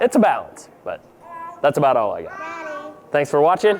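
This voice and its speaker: A man's fairly high-pitched voice at a moderate pace, with noticeable background noise. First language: Pennsylvania Dutch. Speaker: drone deer recovery pilot, vlogger. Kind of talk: casual vlog talk to camera. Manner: relaxed, informal.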